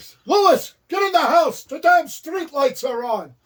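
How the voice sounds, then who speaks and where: A man's put-on character voice at an extremely high pitch. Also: moderate pace. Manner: gruff, bossy.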